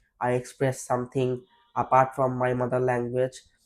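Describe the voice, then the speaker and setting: A man speaks with a Bangladeshi accent. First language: Bengali. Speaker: IELTS test candidate. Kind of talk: mock speaking exam interview. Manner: hesitant, with fillers and restarts.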